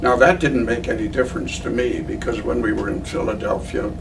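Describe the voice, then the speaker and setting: A man is speaking with music in the background. The room echo is audible. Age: 90s. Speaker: war veteran. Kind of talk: interview. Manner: halting.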